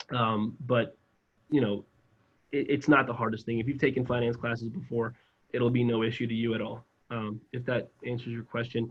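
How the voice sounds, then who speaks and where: With an American accent, a man speaks at medium pitch in a somewhat breathy voice and monotone, flat intonation. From South Florida. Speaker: financial advisor recruiter. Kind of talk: employer information session presentation. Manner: fast.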